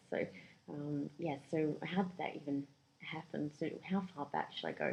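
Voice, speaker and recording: A woman speaks in a New Zealand accent with a very deep, low pitch and vocal fry. Her intonation is fairly even. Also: moderate pace. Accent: New Zealand accent picked up there. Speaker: career coach. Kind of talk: podcast interview.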